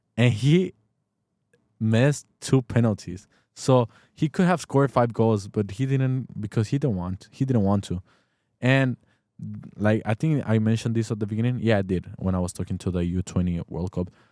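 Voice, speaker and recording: A man with a Spanish accent speaks at a medium pitch and a moderate pace, in a dark, mellow tone with lively intonation, on a very clean recording with a silent background and a dry, close sound with no echo. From Mexico. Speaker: football podcast host. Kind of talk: casual sports talk. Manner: animated; halting.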